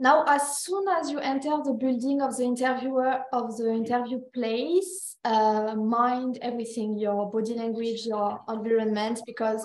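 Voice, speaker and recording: With audible room echo around her, a woman speaks at a moderate pace in a fairly high pitch. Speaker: recruiter. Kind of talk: workshop presentation.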